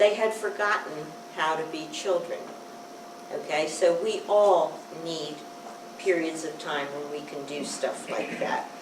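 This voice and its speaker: The woman's delivery is fairly slow. Behind her there is noticeable background noise, and the room echo is audible. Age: 70s. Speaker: peace educator and prison workshop facilitator. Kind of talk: lecture. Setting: university presentation to faculty and students. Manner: halting, many fillers.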